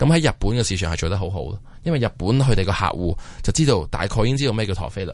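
A man speaks very rapidly, his pitch swinging very widely, while noticeable noise sits in the background. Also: fairly low pitch for a man. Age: 30s. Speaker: watch company founder. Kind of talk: interview. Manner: halting.

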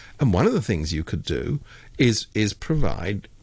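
A man with a British accent speaks at a moderate pace in a fairly low, somewhat breathy voice. His pitch swings very widely against a quiet background. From Britain. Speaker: political commentator. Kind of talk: radio interview. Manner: animated.

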